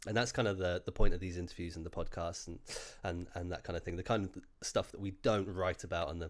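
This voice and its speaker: In a very clean recording with a silent background, a man with a very deep, low pitch talks at a very fast pace in a monotone, flat intonation, his loudness swinging widely. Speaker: editor and interviewer. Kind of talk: interview podcast. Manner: hesitant, many fillers.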